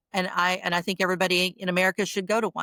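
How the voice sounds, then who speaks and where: Recorded with a dry, close sound and no echo, a woman speaks fairly fast at a fairly low pitch. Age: 60s. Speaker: construction executive. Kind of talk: interview. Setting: podcast recording. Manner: halting, repeats words.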